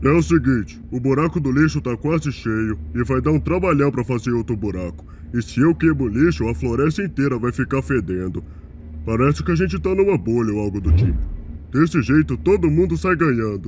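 This man speaks at a fairly quick pace with a medium pitch. Background noise is clearly audible. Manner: chatty, casual, rambling.

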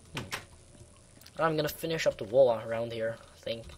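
Noticeable background noise runs under the recording. A man talks at a moderate pace. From Netherlands. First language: Dutch. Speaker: gamer. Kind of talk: gameplay commentary.

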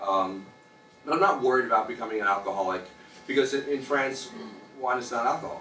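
In an American accent, the speaker talks at a very fast pace with lively intonation and long, frequent pauses, over audible room echo and music in the background. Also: man. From United States. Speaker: stand-up comedian. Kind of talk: stand-up comedy set. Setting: stage with live audience at open mic. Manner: animated, punchy joke delivery with shouts and sound effects; conversational with hesitant fillers, laughs at own jokes. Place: bar. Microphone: camera far.

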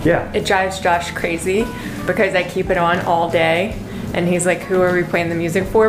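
A woman talks at a fairly quick pace. Music plays in the background. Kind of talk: casual home tour chat. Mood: cheerful, amused. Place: home room.

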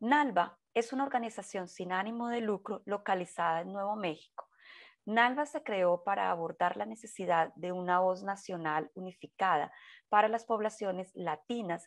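With a Portuguese accent, a woman of medium pitch speaks at a moderate pace with ordinary pitch variation over a quiet background. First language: Portuguese (speaking Spanish). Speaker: webinar host. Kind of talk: scripted webinar introduction. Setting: online webinar. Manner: formal.

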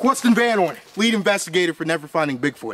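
At a fairly quick pace, a man talks with very wide pitch swings. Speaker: comic paranormal investigator. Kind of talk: comedic mock-documentary commentary. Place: forest. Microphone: phone near.

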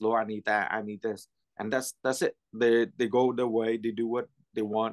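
Against a quiet background, a man talks at a moderate speed. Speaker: Bible study participant. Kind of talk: prayer and group discussion. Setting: video call. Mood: calm, earnest faith talk. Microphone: video call.

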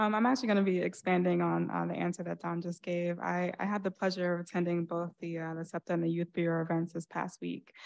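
A woman talks very fast with an American accent and hardly any pauses. Her pitch is fairly low and her intonation monotone and flat. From New Rochelle, New York; New York. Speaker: school board candidate, education consultant; candidate. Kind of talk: candidate forum speech. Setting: stage with audience. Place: stage.

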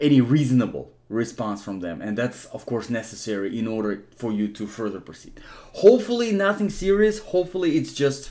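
The voice belongs to a man with a dark, mellow tone. He moves at a fairly quick pace. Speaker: immigration help channel host. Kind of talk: tutorial.

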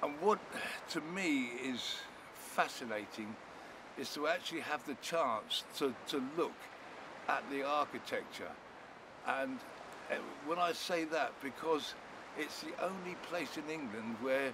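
A man at a fairly slow pace with long, frequent pauses and ordinary pitch variation, in a dry sound with no echo, over noticeable background noise. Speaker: presenter. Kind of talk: interview answer. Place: beach.

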